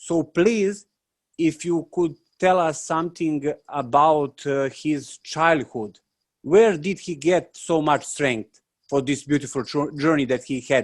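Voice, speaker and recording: Speaking at a very slow pace with a non-native accent, a man uses a fairly high pitch and ordinary pitch variation. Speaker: monastic novice. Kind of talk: panel question. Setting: video call. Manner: halting.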